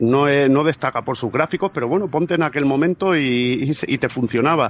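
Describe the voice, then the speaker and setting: A man with a plain, everyday voice speaks at a moderate pace and a fairly high pitch, with ordinary pitch variation. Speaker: podcaster. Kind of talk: casual chat.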